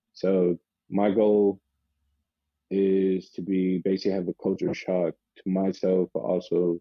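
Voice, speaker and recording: A man with a very deep, low pitch and an American accent, monotone and flat. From US South, Charlotte, North Carolina. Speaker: American football player. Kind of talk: interview. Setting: phone call. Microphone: phone line, audio only.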